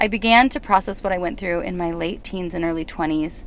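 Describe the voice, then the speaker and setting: Pitch moves in an ordinary way. The delivery is fairly quick. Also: woman. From California. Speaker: podcast host and healing coach. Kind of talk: personal monologue. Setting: in a car in a parking lot.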